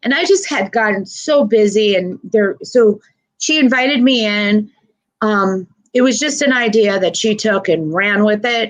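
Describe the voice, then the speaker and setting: A woman with a normal speaking voice at a fairly high pitch. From northern New Jersey. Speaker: senior services community liaison. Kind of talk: interview.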